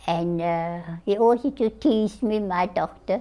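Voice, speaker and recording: A woman's dark, mellow tone at a very slow pace, with ordinary pitch variation. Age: 80s+. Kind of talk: interview answer.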